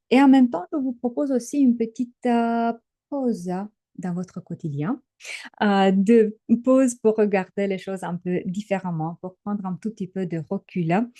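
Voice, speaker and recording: A woman with a slight Romanian accent speaks fairly slowly in a medium-pitched, dark and mellow tone with lively intonation. The sound is dry and close with no echo, and the background is quiet. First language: Romanian (speaking French). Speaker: trainer and coach. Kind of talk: webinar presentation. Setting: online webinar. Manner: hesitant, many filler sounds.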